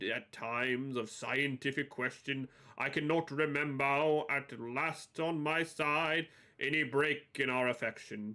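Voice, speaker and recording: Using an adopted character voice, a man delivers his lines fairly slowly. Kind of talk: formal, antique.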